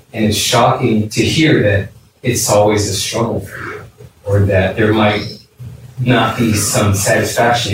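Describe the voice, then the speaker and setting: Music plays in the background. Over it, a man speaks at a moderate pace in a fairly low voice. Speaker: audience member. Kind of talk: classroom discussion. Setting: classroom.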